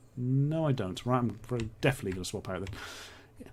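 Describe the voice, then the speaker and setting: A somewhat breathy male voice. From England, Norfolk. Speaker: streamer. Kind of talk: live gaming stream commentary. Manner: casual, chatty.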